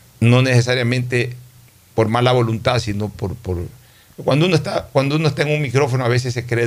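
At a fairly quick pace, a somewhat breathy man talks at medium pitch with ordinary pitch variation. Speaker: radio host. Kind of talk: radio talk show, political discussion.

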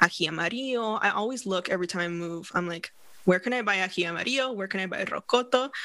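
A woman's medium-pitched voice, bright and sharp in tone, at a very fast pace. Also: ordinary pitch variation. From Northern California. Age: 30s. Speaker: hypnotherapist and coach. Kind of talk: podcast interview.

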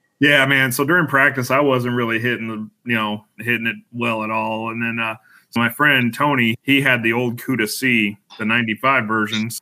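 This man has a plain, everyday voice and an American accent, pitched at a medium level. He keeps a moderate pace with hardly any pauses and fairly even intonation. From Colorado, Denver. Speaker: league bowler. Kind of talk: casual chat.

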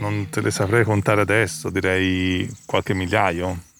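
Ordinary pitch variation runs through a man's fairly low voice. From Italy, Florence. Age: 40s. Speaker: photographer. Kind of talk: interview. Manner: halting.

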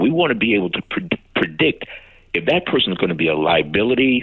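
Over noticeable background noise, a man with an American accent talks at a fairly quick pace, his pitch swinging very widely. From Chicago, South Side. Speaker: retired police commander. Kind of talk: interview conversation.

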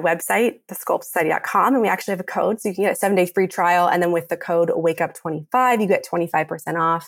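A woman with a plain, everyday voice talks at a fairly quick pace with hardly any pauses. Her medium pitch shows ordinary variation, and her loudness stays very even. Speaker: fitness founder and instructor. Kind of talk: casual interview chat.

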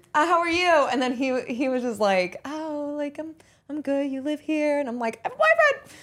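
This woman has a high pitch and an American accent. She speaks at a moderate pace with ordinary pitch variation. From Pittsburgh, US. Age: 20s. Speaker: social media influencer and actress. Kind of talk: casual podcast interview.

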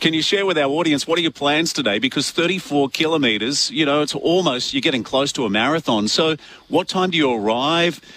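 This man talks at a fairly quick pace with ordinary pitch variation and very even loudness. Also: fairly high pitch for a man.

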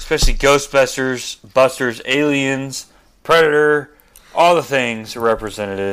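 Here is a man with an unremarkable speaking voice, fairly high in pitch. He speaks at a fairly slow pace with ordinary pitch variation. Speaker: guest, husband of a pro-life activist. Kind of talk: casual chat. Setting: remote call.

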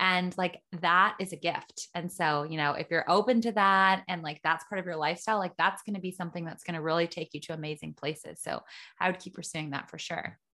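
Speaking with a Canadian accent, a woman has a plain, everyday voice at a fairly low pitch. Her pace is fairly quick, her intonation fairly even, and the background quiet. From Ontario, Canada. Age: 30s. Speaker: podcast host and entrepreneur. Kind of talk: interview conversation.

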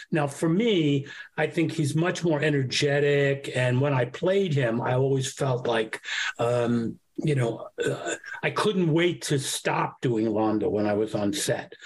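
A man with a New York accent, fairly high in pitch and fairly slow, with lively intonation and very even loudness. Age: 70s. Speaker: actor. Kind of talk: casual interview.

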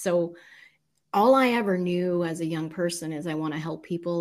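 This woman has a plain, everyday voice, fairly low in pitch, with an American accent and ordinary pitch variation. The recording is very clean, with a silent background. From US South. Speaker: life coach and motivational speaker. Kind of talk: interview testimony.

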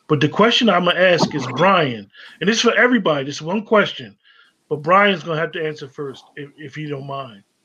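Intonation runs lively as a man speaks in a bright, sharp tone with big swings in loudness. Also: fairly high pitch for a man, fairly quick pace. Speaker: poetry show host. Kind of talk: casual chat. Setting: video call.

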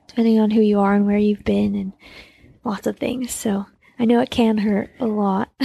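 A soft-spoken woman in an American accent, fairly high in pitch with a dark, mellow tone, fairly even intonation and a moderate pace. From Utah, US. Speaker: elite trail runner. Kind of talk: casual interview. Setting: in person, Austin.

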